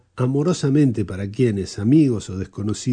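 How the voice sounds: Here the text comes out in a natural reading voice.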